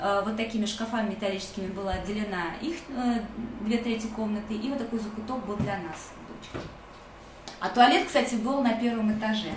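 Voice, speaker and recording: A woman speaks at a fairly quick pace with a fairly high pitch and ordinary pitch variation. Noticeable background noise runs behind her. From Russia. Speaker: refugee and former rights activist. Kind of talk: personal testimony. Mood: calm, reflective. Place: home room. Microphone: webcam.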